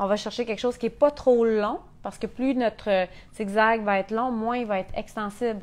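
A woman with a Quebec accent, fairly high pitch, fairly even intonation and a fairly quick pace. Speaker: sewing instructor. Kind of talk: tutorial. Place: workshop. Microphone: lapel.

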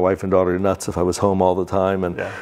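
The voice belongs to a man. It sits very deep and low in pitch. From Central Florida (Winter Park); Central Florida. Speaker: real estate developer. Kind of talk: interview. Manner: halting. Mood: relaxed, friendly. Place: office. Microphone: lapel.

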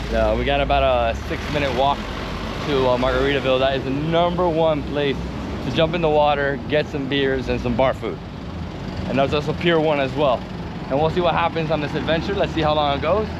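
A man speaks at a fairly quick pace in a dry sound with no echo. Noticeable background noise is present. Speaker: travel vlogger. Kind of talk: casual vlog chat. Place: street. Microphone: lapel.

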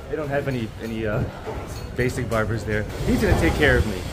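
Background music beneath a man's fairly quick speech. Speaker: travel vlogger. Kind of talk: casual vlog chat. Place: market. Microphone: phone near.

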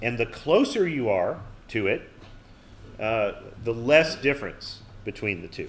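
With long, frequent pauses, a man of medium pitch speaks fairly slowly with lively intonation amid audible room echo. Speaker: university lecturer. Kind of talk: lecture. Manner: many fillers and false starts.

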